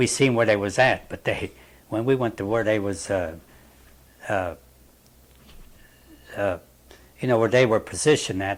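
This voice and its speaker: With a Western Pennsylvania accent, a man with a fairly low pitch speaks with ordinary pitch variation and long, frequent pauses. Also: moderate pace. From Wilmerding, Pennsylvania. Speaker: war veteran. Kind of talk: interview answer.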